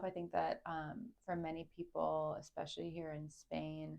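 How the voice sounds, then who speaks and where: This speaker has a Chicago accent and makes big swings in loudness. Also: woman. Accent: American, Chicago. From US Midwest, Chicago. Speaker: entrepreneur, club founder. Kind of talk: interview.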